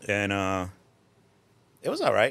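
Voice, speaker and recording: Recorded very cleanly against a silent background, a man speaks with a New Jersey accent. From Newark, New Jersey (born Puerto Rico, moved 1980). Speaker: drift event tech inspector. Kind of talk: casual chat.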